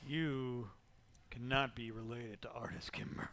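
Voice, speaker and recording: This is a put-on character voice in a low-to-middle pitch. It moves at a moderate pace. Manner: imitating someone's familiar inflection.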